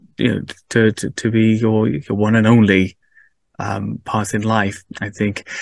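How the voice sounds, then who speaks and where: A man speaks with a Cardiff accent and a fairly low pitch. His intonation is monotone and flat, and his pace is fairly slow. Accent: Welsh (Cardiff). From Wales, Cardiff. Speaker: podcast host. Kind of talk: casual chat.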